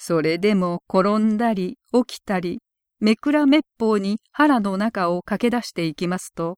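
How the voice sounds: Pitch shifts in an ordinary way as a natural reading voice reads against quiet surroundings.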